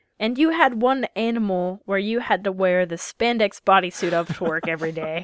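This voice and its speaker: A woman with an unremarkable speaking voice talks at a moderate pace in a medium pitch, her intonation lively. The recording is very clean with a silent background, and the sound is dry and close with no echo. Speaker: podcast co-host. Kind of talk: casual chat.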